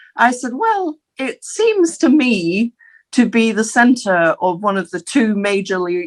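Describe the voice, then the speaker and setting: Delivery comes at a fairly slow pace in an Aberdeen accent. The intonation is lively. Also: woman. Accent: Scottish (Aberdeen). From Scotland, Aberdeen. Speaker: interviewee, former city international relations officer. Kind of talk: interview. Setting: studio. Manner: halting, with fillers.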